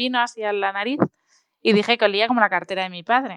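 With fairly even intonation, a woman speaks in a normal speaking voice, fairly high in pitch, the sound dry and close with no echo. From Spain, Asturias (Oviedo). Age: 20s. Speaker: food blogger and consultant. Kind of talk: interview.

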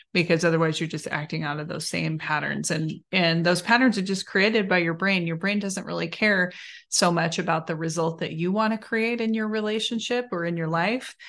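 Against a quiet background, a woman with an ordinary speaking voice talks at a fairly quick pace, her fairly low pitch showing ordinary pitch variation. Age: 40s. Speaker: podcast host, relationship coach. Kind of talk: casual chat.

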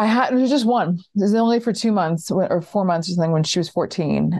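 A woman speaks in a New York accent at a fairly low pitch. Her pace is moderate, with ordinary pitch variation. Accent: American, New York area. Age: 30s. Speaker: stand-up comedian. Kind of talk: casual interview chat. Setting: remote call.

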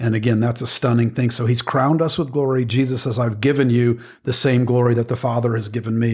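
A man talks at a fairly quick pace in a medium pitch, his intonation monotone and flat. The recording is very clean, with a silent background. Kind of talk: sermon-like teaching conversation. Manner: earnest, teaching.

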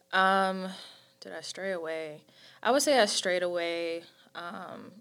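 On a very clean recording with a silent background, a woman with an American accent speaks at a fairly slow pace, her fairly low voice bright and sharp in tone with ordinary pitch variation. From North Carolina (High Point). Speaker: church leader. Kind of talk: casual chat.

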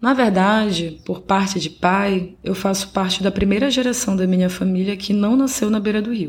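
A woman's somewhat breathy, medium-pitched voice at a moderate pace, with fairly even intonation and hardly any pauses. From Belém, Pará, northern Brazil. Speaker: podcast host. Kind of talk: scripted narration.

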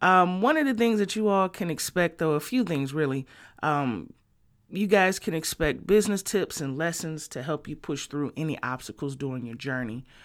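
A woman with an American accent, very deep low pitch and lively intonation, on a very clean recording with a silent background. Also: moderate pace. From Detroit, Michigan. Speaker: podcast host and music marketing entrepreneur. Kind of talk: solo podcast monologue. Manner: casual, with frequent fillers.

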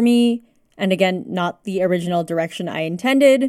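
With a Canadian accent, a woman talks at a fairly quick pace in a normal speaking voice, her pitch variation ordinary. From Canada. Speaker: podcast host. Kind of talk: solo podcast monologue. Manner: casual, with laughs.

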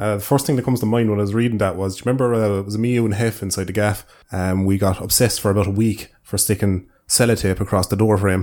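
This man has an Irish accent and talks at a very fast pace. His intonation stays fairly even. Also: fairly low pitch for a man. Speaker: podcast host, YouTuber. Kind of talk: casual chat podcast.

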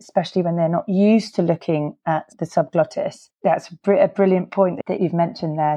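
Over a quiet background, a woman with a British accent speaks at a moderate pace in a fairly low, dark, mellow voice with ordinary pitch variation. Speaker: podcast host and laryngology clinician. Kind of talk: interview.

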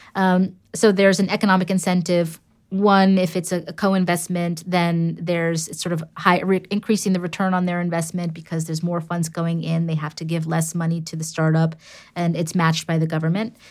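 Monotone, flat intonation from a woman with a New York accent, fairly low in pitch, at a fairly quick pace, on a very clean recording with a silent background. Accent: New York American. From US, New York City. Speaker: entrepreneur and angel investor. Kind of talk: interview conversation.

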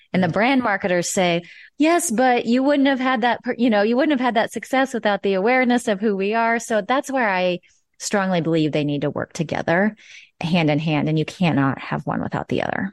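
With a Midwestern American accent, a woman speaks at a fairly quick pace. Her pitch swings very widely over a quiet background. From Nebraska. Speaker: marketing consultant. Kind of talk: interview.

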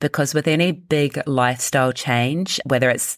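At a fairly slow pace, a woman talks with a very deep, low pitch on a very clean recording with a silent background. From New Zealand. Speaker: health coach and business owner. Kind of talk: interview conversation.

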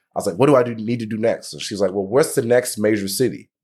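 A normal speaking voice at a fairly quick pace, on a very clean recording with a silent background. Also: man. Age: 30s. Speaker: leadership speaker and insurance agent. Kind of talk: interview.

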